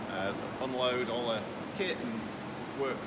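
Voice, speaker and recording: Loud background noise fills the clip. Through it, a man talks. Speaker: company host. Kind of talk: casual tour commentary. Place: garage. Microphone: phone near.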